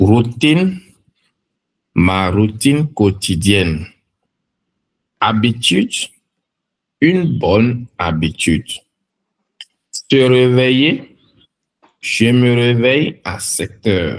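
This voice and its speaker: A man speaks at medium pitch and a very slow pace, with long, frequent pauses. His pitch swings very widely. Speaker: French language teacher. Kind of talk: vocabulary listen-and-repeat reading. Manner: slow, clear.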